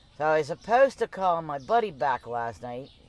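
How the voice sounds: A man's fairly high voice with big pitch swings at a moderate pace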